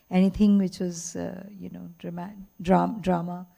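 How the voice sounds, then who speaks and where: A woman with a fairly low pitch and a dark, mellow, somewhat breathy tone speaks at a moderate pace. Her intonation is flat and monotone, yet her loudness swings widely. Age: 70s. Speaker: author. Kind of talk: onstage interview.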